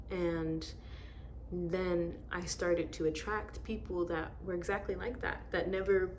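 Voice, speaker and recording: A soft-spoken woman talks at a very slow pace, with audible room echo. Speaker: tarot reader. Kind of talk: tarot reading. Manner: gentle, quiet.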